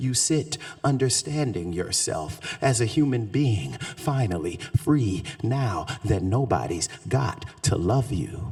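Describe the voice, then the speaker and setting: Very slowly, a man talks in a Southern accent at a medium pitch, his voice making very wide pitch swings. Noticeable background noise sits under the recording. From US South, Shreveport, Louisiana. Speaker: poet. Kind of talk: poetry reading; talk to audience. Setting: stage with audience.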